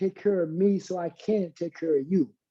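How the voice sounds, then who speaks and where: Fairly slow speech against a quiet background. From Arkansas (Hope). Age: 50s. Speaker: fitness guest. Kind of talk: panel discussion.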